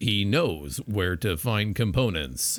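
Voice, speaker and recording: Using a put-on character voice, a man speaks at a fairly slow pace. His pitch is fairly low. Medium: read story. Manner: formal, third person.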